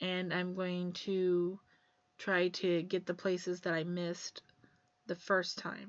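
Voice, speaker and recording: A woman speaks at a very slow pace in a medium pitch. Her intonation is monotone and flat. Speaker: craft video creator. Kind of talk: tutorial.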